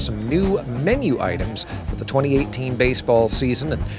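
Clear music plays behind a man whose voice has a dry sound with no echo. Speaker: radio host. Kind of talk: casual food review chat. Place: stadium. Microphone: handheld.

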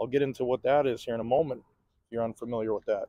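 The recording of a man is dry, with no echo. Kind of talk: casual commentary. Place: waterside. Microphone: phone near.

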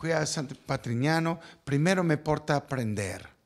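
A man with a Spanish accent, fairly high pitch, lively intonation and a fairly slow pace against a quiet background. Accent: Spanish-accented Italian. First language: Spanish (speaking Italian). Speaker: architect. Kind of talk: interview; interview answer. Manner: halting. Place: office. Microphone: handheld.

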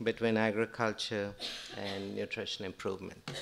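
There is music playing behind the voice. The speaker is a man. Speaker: university professor, speaker. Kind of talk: conference lecture. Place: hall. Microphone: podium.

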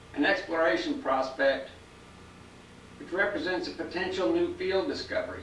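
The recording has light background noise and audible room echo. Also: man. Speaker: presenter. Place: office.

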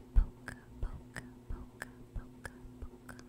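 A female speaker whispers. Her pace is very slow. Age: 20s. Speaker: ASMR creator. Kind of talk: ASMR trigger words. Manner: whispered. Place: home room. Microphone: handheld.

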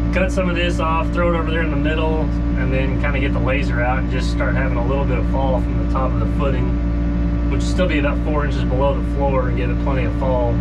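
A man rushes along at a very fast pace while music plays in the background. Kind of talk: casual vlog chat. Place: farm machine. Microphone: phone near.

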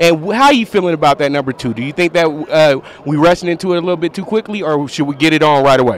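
A man at a very fast pace with hardly any pauses, ordinary pitch variation and light background noise. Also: dry sound with no echo. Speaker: sports betting handicapper and video host. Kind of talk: casual on-camera sports interview. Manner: animated. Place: hall. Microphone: handheld.

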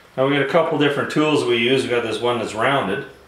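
A man's voice with audible room echo and noticeable noise in the background. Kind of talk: tutorial. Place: garage.

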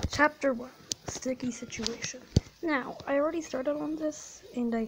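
There is noticeable background noise behind a woman whose high-pitched voice has ordinary pitch variation. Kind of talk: casual gameplay commentary.

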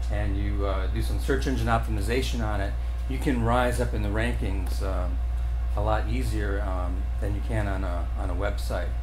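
Over clear music in the background, a man talks in a very deep, low pitch with monotone, flat intonation. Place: hall. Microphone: camera far.

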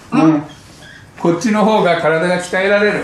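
A man with a high pitch speaks over light background noise with audible room echo. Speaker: qigong instructor. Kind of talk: instructing exercise. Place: home room. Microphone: camera far.

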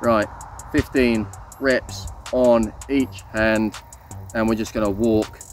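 A man is speaking with music in the background. The sound is dry with no echo. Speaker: fitness instructor. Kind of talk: workout tutorial. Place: open country.

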